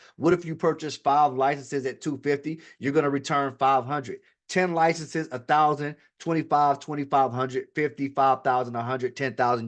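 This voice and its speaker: The delivery is animated and fairly quick. The background is quiet. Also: man, fairly high pitch for a man. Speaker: online money-making promoter. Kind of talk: sales pitch. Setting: live stream with chat. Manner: fast.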